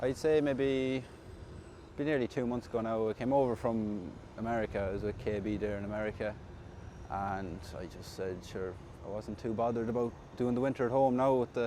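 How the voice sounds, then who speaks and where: A medium-pitched man with a western Irish accent, at a fairly quick pace, with long, frequent pauses. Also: ordinary pitch variation. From Ireland, County Mayo. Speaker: tractor driver. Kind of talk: interview.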